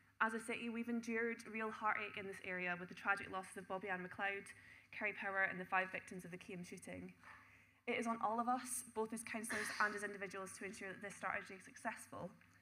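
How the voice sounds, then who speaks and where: Amid audible room echo, a woman speaks very fast at medium pitch with fairly even intonation. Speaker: city councillor. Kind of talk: council debate speech.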